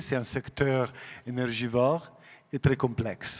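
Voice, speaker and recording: Using a non-native accent, a man speaks very slowly at a medium pitch. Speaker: food industry executive. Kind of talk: panel discussion.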